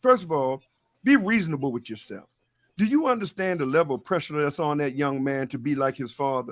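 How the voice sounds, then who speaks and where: Talking at a fairly quick pace, a man sounds animated, with lively intonation and a fairly high pitch. The recording is very clean, with a silent background. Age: 60s. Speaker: sports talk panelist. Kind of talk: heated debate.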